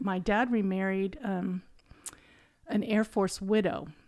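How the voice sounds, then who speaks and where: A woman is talking. Her pitch is in the medium range. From central Ohio, US. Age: 60s. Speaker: host's mother, guest. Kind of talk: casual chat.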